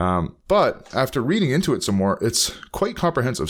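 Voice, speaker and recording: At a medium pitch, a man talks with vocal fry and very wide pitch swings. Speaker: teacher giving online tech tutorials. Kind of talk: tutorial. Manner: fast; halting.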